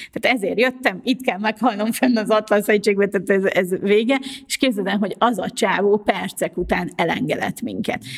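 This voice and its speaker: A woman at medium pitch and moderate pace, with ordinary pitch variation, hardly any pauses, and noticeable background noise. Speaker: podcast host, journalist and wheelchair user. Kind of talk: casual chat.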